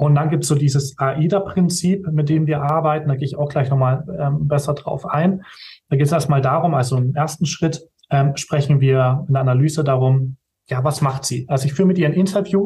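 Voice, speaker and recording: At a fairly quick pace, a man speaks in a somewhat breathy voice with a fairly high pitch. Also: fairly even intonation. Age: 20s. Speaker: video production company owner. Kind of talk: interview.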